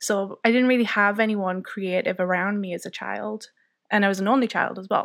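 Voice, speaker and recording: No noise at all sits behind this very clean recording. The delivery keeps a moderate speed. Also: woman. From County Durham, northeast England. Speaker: freelance illustrator and designer. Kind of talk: casual interview chat.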